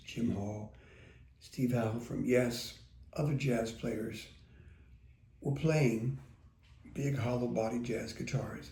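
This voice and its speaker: Amid audible room echo, a man with an American accent speaks at a fairly slow pace in a relaxed, dark, mellow, somewhat breathy voice at medium pitch. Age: 60s. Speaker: guitar teacher. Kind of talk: casual talk to camera. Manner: relaxed, conversational with fillers.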